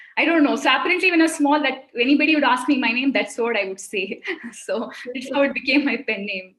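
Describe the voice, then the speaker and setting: Talking at a very fast pace, a woman with a Kannada accent uses a high pitch. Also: lively intonation. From India, Mumbai. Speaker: children's author. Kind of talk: interview on a webinar. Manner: halting.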